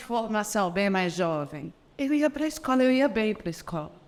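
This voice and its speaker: Here is a woman speaking. Her pitch swings very widely. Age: 50s. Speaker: voice and Alexander Technique teacher. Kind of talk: video lesson.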